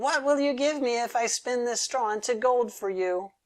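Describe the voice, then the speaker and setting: At a moderate pace, a fairly high, female-sounding put-on character voice carries the lines. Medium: read story. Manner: bargaining.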